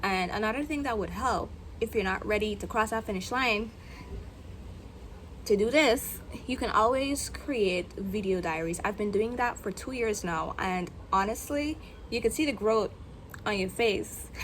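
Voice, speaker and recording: This woman has an American accent and a fairly high pitch with vocal fry. She moves at a moderate pace with ordinary pitch variation and long, frequent pauses. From Guyana. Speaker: content creator vlogger. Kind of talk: casual vlog monologue. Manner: unscripted, with filler words.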